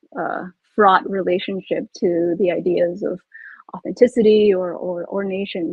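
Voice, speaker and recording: A woman is speaking. She has a Californian accent. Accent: Californian American English. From US, California Bay Area (Milpitas). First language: Pangasinan. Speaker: author. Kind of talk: panel discussion. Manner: halting, many false starts.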